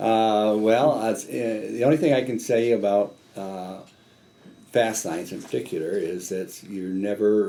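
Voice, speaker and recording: Speaking at a fairly slow pace, a man with a fairly low pitch and ordinary pitch variation has a dark, mellow tone, and audible room echo surrounds his voice. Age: 60s. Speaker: business owner. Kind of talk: interview. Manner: halting.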